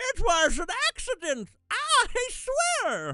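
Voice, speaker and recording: The speaker puts on a character voice. The delivery is very slow. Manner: crazy, protesting.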